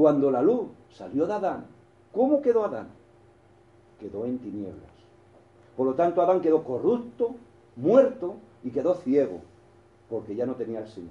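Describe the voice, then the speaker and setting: A man's fairly high voice has a dark, mellow tone and very wide pitch swings. He leaves long, frequent pauses. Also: moderate pace. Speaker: preacher. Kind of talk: sermon. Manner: halting.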